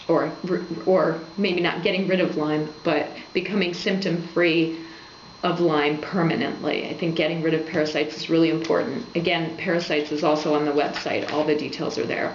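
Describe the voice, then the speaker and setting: Through audible room echo and noticeable background noise, a woman speaks in a fairly low, monotone voice at a moderate pace. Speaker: health blogger. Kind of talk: informational talk to camera.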